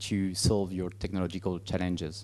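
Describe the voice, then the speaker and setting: A man with a French accent speaks at a moderate pace in a dark, mellow tone against a quiet background. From France. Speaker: business director presenting services. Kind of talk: conference presentation. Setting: conference stage. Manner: halting, many fillers.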